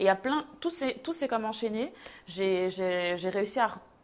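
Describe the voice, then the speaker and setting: This is a woman's voice. Her pitch is fairly high. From Belgium. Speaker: textile designer. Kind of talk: casual chat.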